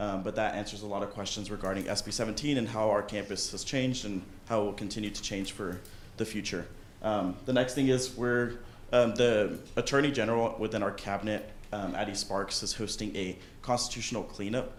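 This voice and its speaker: Audible room echo surrounds a man speaking at a fairly quick pace. His voice is fairly low, with fairly even intonation. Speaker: student body president. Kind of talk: meeting report. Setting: student government meeting.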